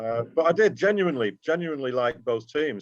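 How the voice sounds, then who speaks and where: In a Geordie accent, a man speaks with ordinary pitch variation. The recording is dry and close, without echo. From Newcastle, northern England (Tyneside), raised in North Manchester from age eight. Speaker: football fan and fanzine writer. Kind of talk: casual interview chat. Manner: conversational with frequent fillers.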